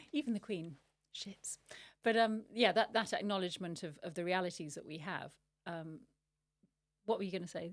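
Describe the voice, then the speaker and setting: Speaking at a moderate pace with a British accent, a woman shows ordinary pitch variation, big swings in loudness and long, frequent pauses. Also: medium pitch for a woman, very clean recording, silent background. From Britain. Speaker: podcast host. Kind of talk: interview.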